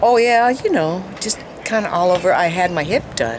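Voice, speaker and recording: Noticeable background noise sits behind a woman with a fairly low pitch. She speaks at a moderate pace with lively intonation. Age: 70s. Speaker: product user giving testimonial. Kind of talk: testimony. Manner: casual, halting with fillers.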